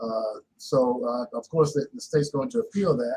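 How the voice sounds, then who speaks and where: Somewhat breathy, a man talks at a fairly quick pace and a fairly high pitch with very wide pitch swings. The sound is dry and close, with no echo. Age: 80s+. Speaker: historian and psychology professor. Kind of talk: interview.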